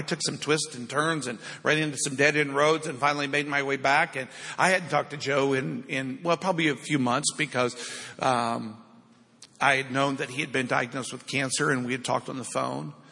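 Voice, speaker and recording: Speaking in an unremarkable speaking voice, a man keeps a fairly quick pace with fairly high pitch and fairly even intonation. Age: 50s. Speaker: pastor. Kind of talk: sermon. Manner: informal, conversational.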